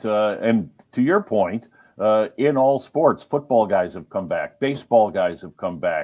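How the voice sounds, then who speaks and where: Using a normal speaking voice at medium pitch, a man talks with lively intonation and big swings in loudness. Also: very clean recording, silent background. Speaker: radio play-by-play broadcaster. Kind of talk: interview answer.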